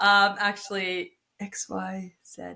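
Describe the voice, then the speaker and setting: With a French Canadian accent, a woman speaks very slowly in a bright, sharp tone at a medium pitch, her intonation lively. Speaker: podcast host. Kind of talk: interview.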